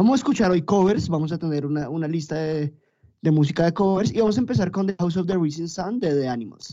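A man's high-pitched voice at a very fast pace, with lively intonation and a dark, mellow tone. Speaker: podcast host. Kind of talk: casual chat.

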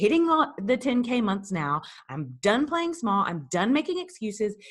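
A somewhat breathy woman with an American accent and very wide pitch swings, over a quiet background. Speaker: business coach. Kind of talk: pep talk, motivational monologue. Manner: animated.

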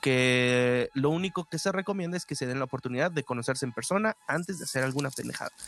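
A man with a Mexican accent, fairly high pitch and ordinary pitch variation, very fast with hardly any pauses, in a dry, close sound with no echo and noticeable background noise. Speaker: podcast co-host. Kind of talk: casual chat.

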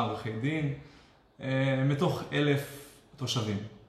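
Man at medium pitch, very slow pace and fairly even intonation, with noticeable background noise and audible room echo. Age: 20s. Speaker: web developer and online marketer. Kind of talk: live-stream interview.

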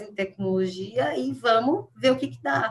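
A somewhat breathy woman's voice at a very slow pace, with very wide pitch swings. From interior of São Paulo state, Jundiaí region. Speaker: psychology professor. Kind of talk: interview.

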